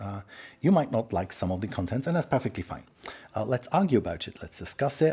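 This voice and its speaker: At a very fast pace, a man with a dark, mellow, somewhat breathy tone speaks at medium pitch, with very wide pitch swings and big swings in loudness. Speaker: tech speaker and livestream host. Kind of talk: live-streamed presentation.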